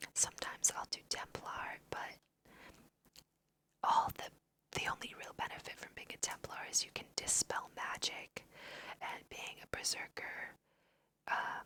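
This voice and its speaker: Whispering at a fairly slow pace, a woman speaks with an American accent. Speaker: ASMR creator. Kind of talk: whispered ASMR let's play.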